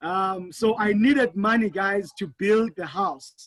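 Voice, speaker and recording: A man's high voice holds fairly even intonation, recorded dry and close with no echo. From South Africa, Eastern Cape (near Port Elizabeth). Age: 30s. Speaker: network marketing entrepreneur. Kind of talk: panel discussion, personal story.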